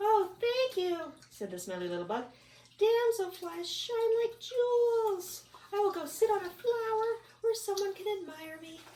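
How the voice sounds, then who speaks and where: A woman uses a squeaky put-on character voice, pitched extremely high, at a moderate pace. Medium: read story. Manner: earnest, eager.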